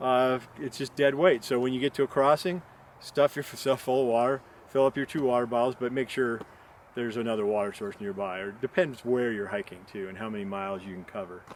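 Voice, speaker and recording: Here a man uses a plain, everyday voice at medium pitch, with ordinary pitch variation. He speaks at a fairly quick pace, and his loudness swings widely. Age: 60s. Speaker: backpacking vlogger. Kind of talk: casual tutorial monologue. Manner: rambling, many fillers.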